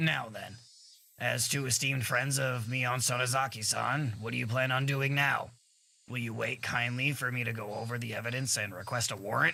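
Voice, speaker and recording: A raspy put-on character voice at a moderate pace with fairly even intonation. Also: man, medium pitch for a man. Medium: game stream. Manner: oily, overly polite, teasing.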